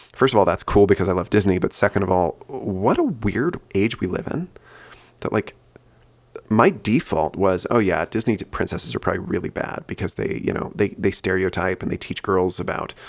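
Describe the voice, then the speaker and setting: A man speaks softly in a fairly low voice. His pitch varies in an ordinary way. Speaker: podcaster. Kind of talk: casual monologue. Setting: at home, kids asleep. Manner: soft-spoken; fast.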